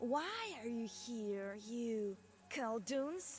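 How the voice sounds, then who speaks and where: A put-on character voice with a fairly high pitch and a hissing quality plays over clear background noise. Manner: hissing, angry.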